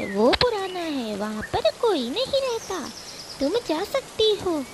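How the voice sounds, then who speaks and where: In a cartoonish character voice, a woman speaks at an extremely high pitch and a fairly slow pace against clear background noise. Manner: cunning, mocking.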